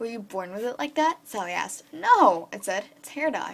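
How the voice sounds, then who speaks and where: Moving at a fairly quick pace, a woman talks. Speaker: fan fiction reader. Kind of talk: reading aloud; casual chat. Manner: fast; halting.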